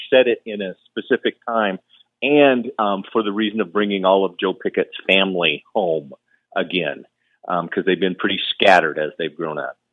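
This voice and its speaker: A man with an unremarkable speaking voice at a fairly quick pace. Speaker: author. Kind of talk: interview chat.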